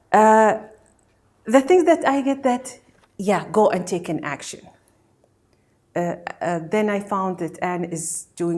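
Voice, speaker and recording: Her pitch swinging very widely, a woman with a Gulf Arabic accent speaks at a fairly slow pace. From Kuwait. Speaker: meditation practitioner. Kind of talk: testimony. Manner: halting.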